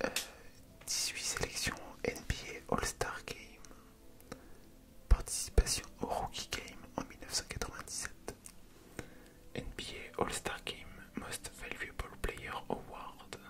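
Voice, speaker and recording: Whispering at a very slow pace with long, frequent pauses, a man's voice swings widely in loudness over noticeable background noise. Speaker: ASMR creator. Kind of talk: ASMR whispered reading. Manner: whispered, soft-spoken.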